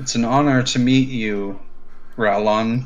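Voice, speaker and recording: Using a gruff, put-on character voice, a man talks at a fairly slow pace and a medium pitch. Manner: gruff, low, not screamed.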